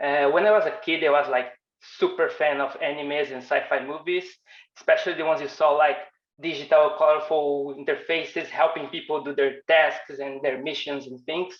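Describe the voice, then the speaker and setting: A man with a Portuguese accent, fairly high in pitch, fairly quick, with fairly even intonation and big swings in loudness. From Brazil. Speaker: designer and animation instructor. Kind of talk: online workshop presentation.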